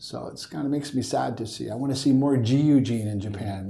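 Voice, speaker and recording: A man's medium-pitched, dark, mellow voice, somewhat breathy, at a fairly quick pace with ordinary pitch variation. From US West Coast, Northern California. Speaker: education and tech entrepreneur. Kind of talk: interview.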